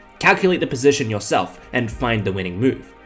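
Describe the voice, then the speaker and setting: There is music in the background as a man speaks. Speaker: chess content creator. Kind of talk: scripted video intro.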